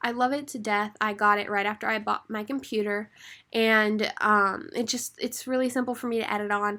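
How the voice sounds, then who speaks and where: This voice has a bright, sharp tone and fairly even intonation. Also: woman, fairly high pitch for a woman, moderate pace, very clean recording, silent background. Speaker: podcaster and YouTuber. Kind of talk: casual tutorial to camera. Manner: stutters sometimes; casual, conversational with fillers.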